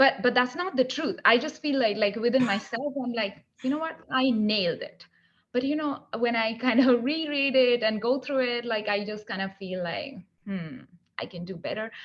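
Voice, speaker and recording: A woman speaks at a moderate pace with a high pitch and a non-native accent. Her intonation is lively. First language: not English. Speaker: book club member. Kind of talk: casual group discussion. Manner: animated.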